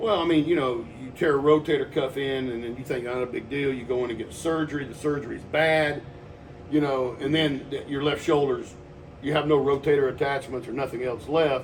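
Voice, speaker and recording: A man's fairly high voice with an American accent at a fairly quick pace, with audible room echo. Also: fairly even intonation. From Texas. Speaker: personal trainer. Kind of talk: casual chat. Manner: loud.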